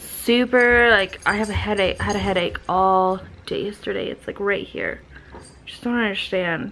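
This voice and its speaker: A woman speaks at a fairly slow pace with a bright, sharp, tired tone. Her pitch variation is ordinary, with light background noise. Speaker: vlogger. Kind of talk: casual vlog chat. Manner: tired, drained, sickly voice. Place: home room. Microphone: phone near.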